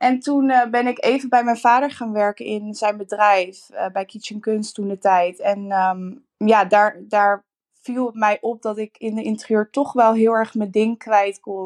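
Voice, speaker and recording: In a quiet background, a woman speaks in a plain, everyday voice at a fairly slow pace and a fairly high pitch. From Netherlands, Rotterdam. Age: 20s. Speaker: interior designer. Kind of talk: interview.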